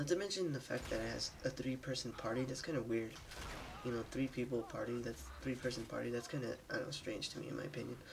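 Noticeable background noise behind a man's medium-pitched voice. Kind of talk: gameplay commentary. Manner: casual, hesitant.

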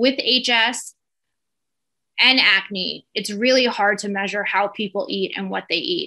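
Bright and sharp in tone, a woman speaks with a New Jersey accent and ordinary pitch variation. Her pace is fairly slow against a quiet background. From US Northeast, New Jersey. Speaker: dermatologist. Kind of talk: educational webinar lecture. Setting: video call webinar with screen share. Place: home room. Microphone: webcam.

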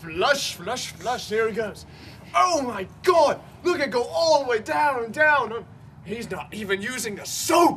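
A man shouts at a fairly slow pace, his pitch swinging very widely. Light background noise is present. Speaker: comedy sketch actor. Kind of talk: acted comedic monologue. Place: open country. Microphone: camera far.

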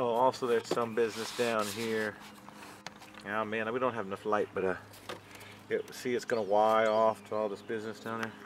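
A man talks at a fairly quick pace in a monotone, flat intonation, with a dry sound with no echo and noticeable background noise. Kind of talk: casual explanatory walkthrough. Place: garden. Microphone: phone near.

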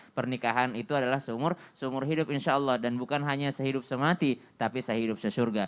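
At a very fast pace, a man with a medium pitch talks with hardly any pauses. His loudness stays very even and his intonation fairly even. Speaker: Islamic preacher. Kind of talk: religious TV talk show. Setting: studio. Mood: earnest, advising. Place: studio. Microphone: handheld.

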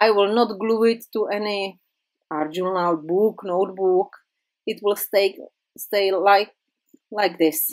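A woman speaks at a medium pitch with a non-native accent. Her pace is very slow, with long, frequent pauses. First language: not English. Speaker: craft YouTuber. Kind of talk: tutorial. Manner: halting.

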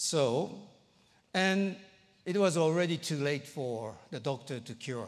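A man with a fairly high voice speaks very slowly, leaving long, frequent pauses. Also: lively intonation, quiet background. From Japan. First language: Japanese. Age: 60s. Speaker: pastor. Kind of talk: sermon. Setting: church. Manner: halting, many fillers. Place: church. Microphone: lapel.

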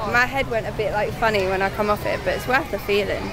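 Fairly quick speech with ordinary pitch variation and crowd noise in the background. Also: woman. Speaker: theme park vlogger. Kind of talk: casual vlog chat. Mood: excited, cheerful. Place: street. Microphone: phone near.

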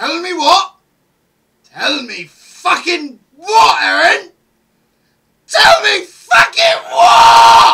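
Shouting in a high-pitched, put-on character voice, very slow and with long, frequent pauses. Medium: dub. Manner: angry, shouting.

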